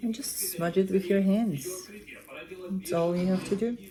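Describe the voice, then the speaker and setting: Noticeable background noise surrounds a woman who speaks fairly slowly at a medium pitch. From Armenia. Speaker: cooking vlogger. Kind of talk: cooking tutorial. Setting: home kitchen. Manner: casual, chatty with hesitations.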